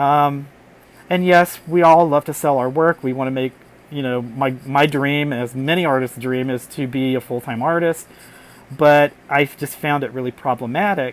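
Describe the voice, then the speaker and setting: Moderately paced, a man speaks in a fairly high voice with fairly even intonation. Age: 60s. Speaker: artist and puppeteer. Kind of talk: vlog monologue. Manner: halting, with fillers.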